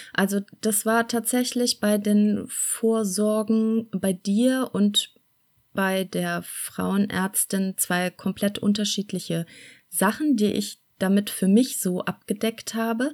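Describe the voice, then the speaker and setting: Very slowly and with fairly even intonation, a woman speaks at a medium pitch in a very clean recording with a silent background. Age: 40s. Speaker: mother telling her birth stories. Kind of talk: casual interview.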